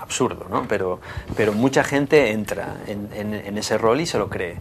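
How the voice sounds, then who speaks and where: A man speaks in a fairly low voice at a fairly slow pace. Background noise is noticeable. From Asturias, Spain. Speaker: former factory worker and works council member, now artist. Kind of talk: TV interview. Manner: halting, many repetitions and fillers.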